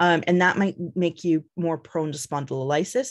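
A woman at a fairly quick pace against a quiet background. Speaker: biological anthropologist, professor; guest lecturer. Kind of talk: lecture. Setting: video call. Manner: fast talker. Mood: calm, explanatory. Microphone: video call.

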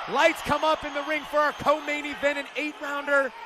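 A man projects a raised voice in an animated, excited tone. Background noise is noticeable. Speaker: boxing commentator. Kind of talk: live boxing commentary. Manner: animated, fast play-by-play patter with excited exclamations.

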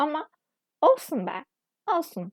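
A woman talks with very wide pitch swings. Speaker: vlogger. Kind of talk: casual monologue vlog.

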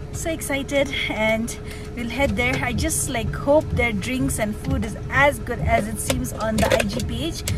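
Over loud background music, a woman speaks at a fairly slow pace, the sound dry with no echo. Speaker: vlogger. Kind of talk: casual vlog chat. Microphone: phone near.

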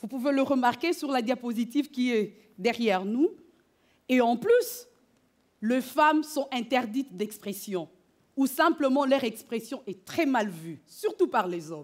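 A woman with a high voice speaks at a fairly slow pace, using lively intonation and long, frequent pauses against a quiet background. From DR Congo. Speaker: doctoral student. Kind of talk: competition presentation; interview. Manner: formal. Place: stage.

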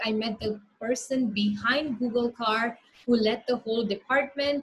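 A woman's fairly high-pitched voice. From India. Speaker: startup founder. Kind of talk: presentation with slides, lecture-style talk. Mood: upbeat, storytelling. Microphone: video call.

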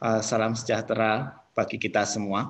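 At a very slow pace, a man talks. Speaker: professor and university director. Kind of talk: online presentation. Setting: video call. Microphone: video call.

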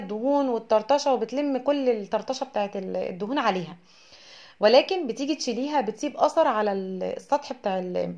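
With an Egyptian accent, a woman speaks at a moderate pace in a fairly high pitch with lively intonation against a quiet background. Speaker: home and cleaning YouTuber. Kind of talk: tutorial.

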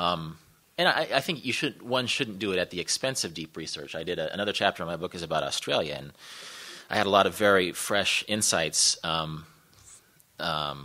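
With an American accent, a man talks at a fairly quick pace, his very deep, low pitch paired with a bright, sharp tone. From Kansas, Wichita; Kansas. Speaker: travel writer; guest lecturer. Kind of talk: panel discussion. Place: hall.

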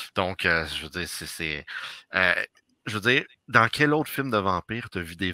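In a Quebec accent, a man speaks over a quiet background, the sound dry with no echo. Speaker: podcast co-host. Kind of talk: casual chat. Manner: animated. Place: home room. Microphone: headset.

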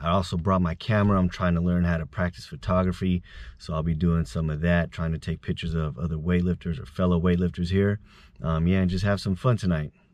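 A man with a very deep, low voice speaks at a very fast pace with fairly even intonation. The sound is dry with no echo, against a quiet background. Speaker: vlogger. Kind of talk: casual vlog chat. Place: car. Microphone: phone near.

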